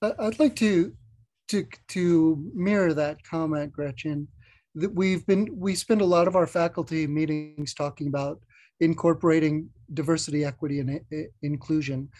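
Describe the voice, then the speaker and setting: A man's fairly high voice, dark and mellow in tone, at a moderate pace with ordinary pitch variation. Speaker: audience member asking questions; audience member. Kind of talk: Q&A question. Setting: video call. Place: home room. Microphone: video call.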